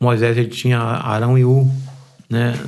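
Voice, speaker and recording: Fairly slow male speech at a medium pitch, the intonation monotone and flat. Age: 60s. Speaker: pastor. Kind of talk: podcast interview.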